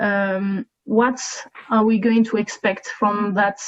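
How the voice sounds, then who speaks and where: Talking at a very slow pace, a woman with a French accent speaks at a medium pitch in a monotone, flat intonation. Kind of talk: breakout group report.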